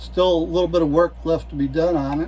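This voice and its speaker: Speech at a moderate pace, set against noticeable background noise. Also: man. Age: 70s. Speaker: gun hobbyist YouTuber. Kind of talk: casual show-and-tell video. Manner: halting, many fillers and repeats.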